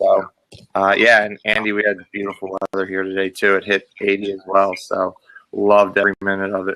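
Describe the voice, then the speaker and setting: A man's fairly quick, fairly low-pitched voice with a Pennsylvania accent, monotone and flat in intonation, bright and sharp in tone, in a dry, close sound with no echo. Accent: Pennsylvania American. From Pennsylvania, York. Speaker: physical education teacher. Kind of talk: casual chat.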